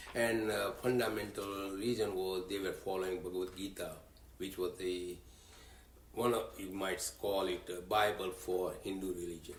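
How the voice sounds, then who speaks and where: Audible room echo hangs around a man's voice. He speaks at a fairly low pitch with monotone, flat intonation. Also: moderate pace. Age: 80s+. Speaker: religious community leader. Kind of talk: interview. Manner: halting.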